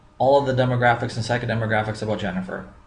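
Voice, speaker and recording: A man with an American accent, audible room echo around him. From Minnesota. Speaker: business coach. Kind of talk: tutorial.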